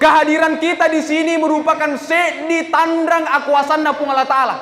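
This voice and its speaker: Loud and monotone with flat intonation, a man speaks at an extremely high pitch and a moderate pace over noticeable background noise. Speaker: Islamic preacher. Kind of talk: sermon. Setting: mosque.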